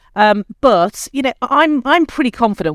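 A woman with a British accent at a fairly quick pace, lively in intonation, in a dry, close sound with no echo. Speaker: admissions service chief executive. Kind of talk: interview. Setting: remote video call.

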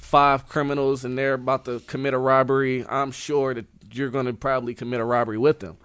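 With a plain, everyday voice, a man talks at a fairly quick pace and medium pitch on a very clean recording with a silent background. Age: 20s. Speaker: author and aspiring motivational speaker. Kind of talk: interview.

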